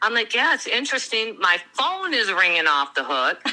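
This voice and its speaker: A woman talks at a fairly high pitch. Music can be heard in the background. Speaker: crime victim's relative. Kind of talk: interview.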